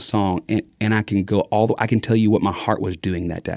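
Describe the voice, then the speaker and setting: A man with a Texas accent talks at a very fast pace and medium pitch against a quiet background. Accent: Southern US (Texas). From Southeast Texas. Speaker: evangelist speaker, former youth minister. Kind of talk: casual chat. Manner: fast talker; mumbles sometimes.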